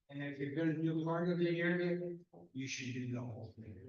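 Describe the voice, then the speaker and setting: A man speaks at a fairly high pitch with ordinary pitch variation. Room echo is audible. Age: 80s+. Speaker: resident speaking at public comment. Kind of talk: public comment at town council meeting.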